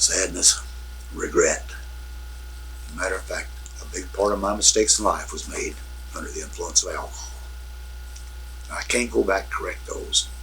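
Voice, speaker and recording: An American-accented man at a moderate pace, with big swings in loudness, long, frequent pauses and noticeable background noise. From US Midwest, Evansville, Indiana. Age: 70s. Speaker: grandfather recording memories for family. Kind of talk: recorded family interview. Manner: halting.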